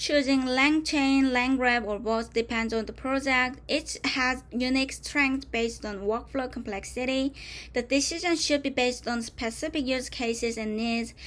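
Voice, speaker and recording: A high-pitched woman with a Korean accent, hardly pausing at all. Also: moderate pace. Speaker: tech tutorial presenter. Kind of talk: tutorial. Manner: halting, with self-corrections.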